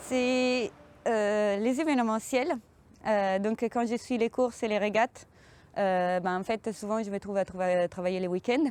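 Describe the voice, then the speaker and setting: With an Italian accent, a woman talks at a fairly slow pace in a fairly high voice, her pitch varying in an ordinary way and her loudness very even, against a quiet background. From Italy. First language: Italian (speaking French). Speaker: sailing communication project manager. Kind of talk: interview monologue about her job. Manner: hesitant, many fillers.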